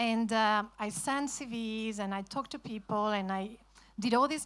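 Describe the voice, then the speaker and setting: A woman with a Spanish accent speaks at a moderate pace in a fairly high pitch, on a very clean recording with a silent background. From Spain. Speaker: author. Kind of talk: festival talk.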